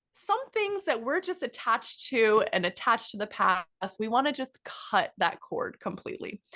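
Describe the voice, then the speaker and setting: A woman speaks at a moderate pace in a raised, projected voice with a high pitch. Her tone is animated, bright and sharp, and her pitch swings very widely. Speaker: podcast co-host. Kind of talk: casual chat.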